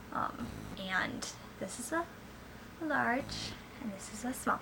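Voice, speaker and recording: Against noticeable background noise and audible room echo, a woman talks fairly slowly with lively intonation. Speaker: parent vlogger. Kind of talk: product review vlog. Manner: casual, filler-heavy.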